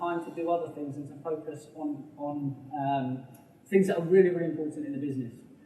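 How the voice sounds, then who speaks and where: Room echo is audible as a man talks at a fairly quick pace. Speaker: business mentor. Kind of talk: public talk. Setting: stage with audience. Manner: fast.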